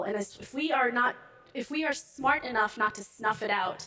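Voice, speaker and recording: A woman speaks at a fairly high pitch with ordinary pitch variation, over noticeable background noise. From Ethiopia. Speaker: finance executive. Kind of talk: panel interview on stage. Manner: fast.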